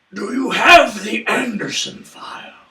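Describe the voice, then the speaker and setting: A man speaks in a put-on character voice at a moderate pace, raspy and extremely high-pitched. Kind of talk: slow, epic fantasy delivery. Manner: solemn, ominous.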